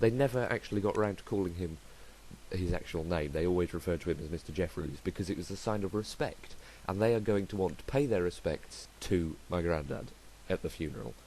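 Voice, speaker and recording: A man's very deep, low voice with vocal fry, a dark, mellow tone, lively intonation and a very fast pace. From southern England. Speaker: podcaster. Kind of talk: podcast monologue. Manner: hesitant, many fillers.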